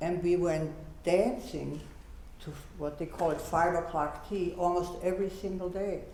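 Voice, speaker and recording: Moderate pace over noticeable background noise. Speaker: Holocaust survivor. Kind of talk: panel discussion.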